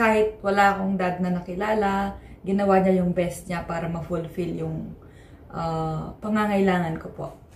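A woman talks in a flat monotone, with light background noise and audible room echo. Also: moderate pace. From Philippines. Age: 20s. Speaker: vlogger. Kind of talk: vlog monologue; casual vlog chat. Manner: hesitant, many fillers. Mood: reflective, personal. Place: home room. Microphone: phone near.

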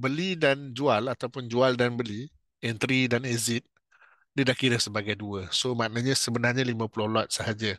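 A man in a Malaysian accent at a medium pitch, with a dry, close sound, no echo and a quiet background. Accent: Malaysian Malay. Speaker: futures trading instructor. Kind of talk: tutorial. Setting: webinar. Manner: slow.

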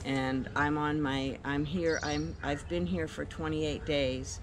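Over noticeable background noise, a woman with a very deep, low pitch speaks in very wide pitch swings. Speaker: guest. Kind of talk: testimonial interview answer. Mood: enthusiastic, grateful. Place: garden.

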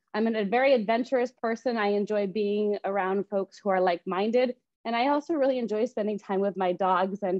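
A quiet background sits behind speech at a moderate pace. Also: woman. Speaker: real estate agent hosting a webinar. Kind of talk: presentation. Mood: friendly, upbeat. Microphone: video call.

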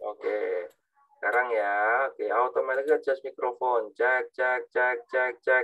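Over faint background music, a man speaks at a very slow pace. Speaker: university lecturer. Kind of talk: lecture. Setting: video call. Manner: halting. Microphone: video call.

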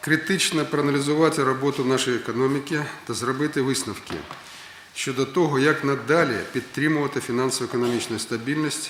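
Over noticeable background noise, a man speaks at a fairly quick pace. His pitch is medium, with ordinary variation. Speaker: prime minister. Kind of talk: official speech at government meeting.

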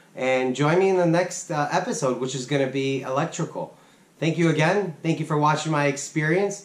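A man at a fairly quick pace with ordinary pitch variation, in audible room echo. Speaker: DIY channel host. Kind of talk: casual vlog outro. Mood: relaxed, thankful. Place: workshop.

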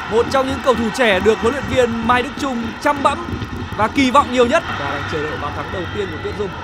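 Very fast, animated, excited speech from a man at extremely high pitch, with ordinary pitch variation and noticeable background noise. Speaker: football commentator. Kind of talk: live sports commentary. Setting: broadcast of a match. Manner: animated, fast-paced play-by-play with excited praise.

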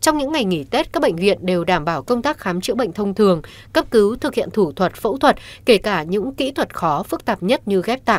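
Talking at a very fast pace, a woman uses a medium pitch. Her voice makes very wide pitch swings. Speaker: news presenter. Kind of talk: news reading. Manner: formal.

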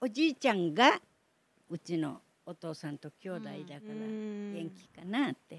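Speaking fairly slowly in an Okinawan accent, a woman with a medium pitch uses lively intonation and big swings in loudness, her sound dry and close with no echo. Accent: Okinawan Japanese. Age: 80s+. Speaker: Battle of Okinawa survivor. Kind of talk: interview answer.

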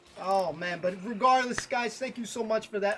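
There is noticeable background noise. A man speaks with ordinary pitch variation. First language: Spanish. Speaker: gaming streamer. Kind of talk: casual live stream chat. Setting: live stream with voice chat. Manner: animated.

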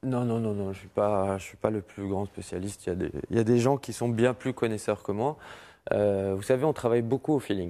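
Over a quiet background, a man with a fairly low voice and a dark, mellow tone talks at a moderate pace with ordinary pitch variation. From Morocco, Casablanca. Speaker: music festival president; interview guest. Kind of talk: TV interview. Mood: relaxed, friendly. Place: studio. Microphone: lapel.

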